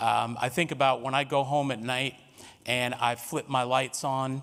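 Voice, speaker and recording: With an American accent, a man talks in a monotone, flat manner. His medium-pitched voice moves at a fairly slow pace. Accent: New York, noticeable at times. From New York City, Harlem. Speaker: workshop facilitator. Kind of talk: workshop presentation.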